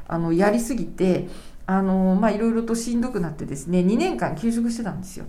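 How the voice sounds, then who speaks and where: A woman talks at a fairly quick pace in a medium pitch with ordinary pitch variation. Her tone is dark, mellow and somewhat breathy, and there is audible room echo. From Japan, Kanagawa Prefecture. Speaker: lawyer. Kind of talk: interview conversation.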